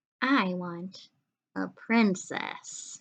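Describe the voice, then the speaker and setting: A woman speaks at a medium pitch in a put-on character voice. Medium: read story.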